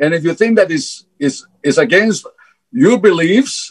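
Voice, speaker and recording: The man's intonation is lively. He talks fairly slowly. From Greece. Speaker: fertility scientist. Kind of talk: interview. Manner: halting, repeats words.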